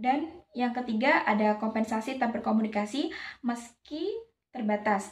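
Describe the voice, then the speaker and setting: A fairly high-pitched woman's voice at a moderate pace. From Java, Indonesia. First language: Javanese (speaking Indonesian). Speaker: university student. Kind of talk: class presentation. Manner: hesitant, with fillers.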